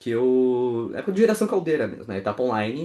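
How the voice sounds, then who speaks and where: Against a quiet background, a man with a Porto Alegre accent speaks with very wide pitch swings. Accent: Porto Alegre gaúcho. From southern Brazil, Porto Alegre. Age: 20s. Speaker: workshop speaker, community manager. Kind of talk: online workshop talk. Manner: casual, chatty.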